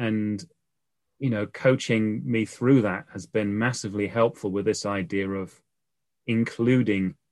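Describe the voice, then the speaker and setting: Talking at a fairly slow pace, a man with a British accent has a fairly low pitch and ordinary pitch variation. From UK. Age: 40s. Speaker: life coach. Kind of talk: interview.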